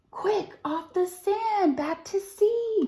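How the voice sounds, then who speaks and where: Putting on a character voice, a woman talks in a squeaky tone at an extremely high pitch. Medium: read story.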